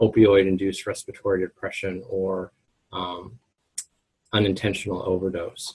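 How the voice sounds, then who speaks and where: A man speaks at a fairly low pitch and a moderate pace, somewhat breathy, his intonation monotone and flat. The sound is dry and close with no echo. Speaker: pharmacy professor presenting a webinar. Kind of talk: lecture. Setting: webinar.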